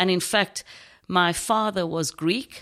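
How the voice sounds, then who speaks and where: In a very clean recording with a silent background, a woman speaks with a strong South African accent. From South Africa, Knysna, Garden Route. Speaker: churchgoer sharing faith story. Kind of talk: testimony.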